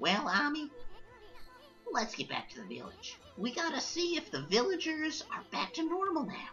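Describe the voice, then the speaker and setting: Clear background music under a put-on character voice, moderately paced. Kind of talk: streamer reading game dialogue aloud. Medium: game stream. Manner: chatty, brash.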